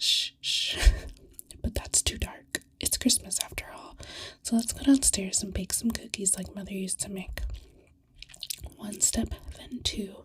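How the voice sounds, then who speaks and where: Whispering at a fairly slow pace, this voice leaves long, frequent pauses. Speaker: ASMR storyteller. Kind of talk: read story. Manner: soft-spoken.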